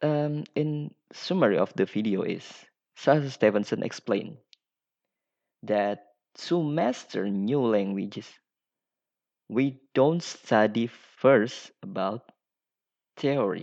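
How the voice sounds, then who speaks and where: Against a quiet background, a man with an Indonesian accent speaks at a medium pitch and a very slow pace. His intonation is lively, broken by long, frequent pauses. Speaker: podcaster. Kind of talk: solo monologue. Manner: halting.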